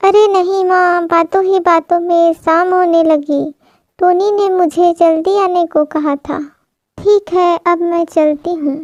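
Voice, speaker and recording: The voice is a cartoonish character act. A woman performs it at an extremely high pitch. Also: fairly slow pace. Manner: chatty, excuse-making.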